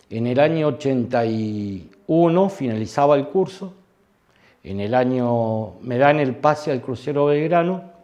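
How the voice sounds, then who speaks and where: His pitch is medium. The man's intonation moves in a lively way. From Argentina, Santa Fe city. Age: 60s. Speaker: war veteran. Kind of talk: testimony. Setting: interview. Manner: halting.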